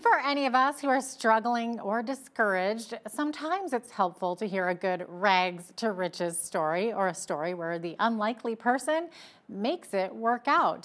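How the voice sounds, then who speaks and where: A woman's lively intonation at a moderate pace, with hardly any pauses. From Canada. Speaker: weather presenter; presenter. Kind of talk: weather forecast. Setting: studio. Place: studio. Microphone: lapel.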